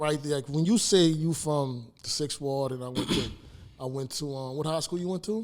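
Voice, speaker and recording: A man in a New Orleans accent speaks at a moderate pace, his fairly high pitch showing ordinary variation. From New Orleans, Uptown. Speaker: interview host. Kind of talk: casual chat.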